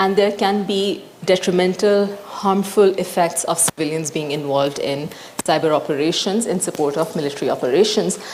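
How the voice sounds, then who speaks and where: Over noticeable background noise, a woman talks at medium pitch with ordinary pitch variation. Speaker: panelist presenting on humanitarian law. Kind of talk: panel presentation. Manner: fast.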